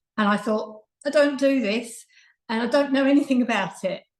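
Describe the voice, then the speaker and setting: A somewhat breathy woman's voice with an Essex accent. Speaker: childminder and early years trainer. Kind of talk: presentation talk.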